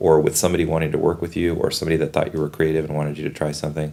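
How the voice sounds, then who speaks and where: The man's voice sits at a very deep, low pitch. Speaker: TV and film director. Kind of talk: interview answer. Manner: joyful.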